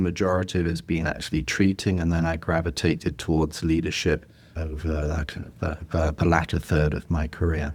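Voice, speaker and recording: A man with a very deep, low pitch and an English accent, at a fairly quick pace. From England. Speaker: healthcare executive, former physical therapist. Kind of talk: podcast interview. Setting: video call.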